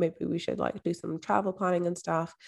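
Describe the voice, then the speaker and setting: A woman speaks with a Scottish accent at a fairly low pitch. The recording is very clean, with a silent background. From Scotland, Edinburgh. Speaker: mindset and manifestation coach. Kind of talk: interview conversation.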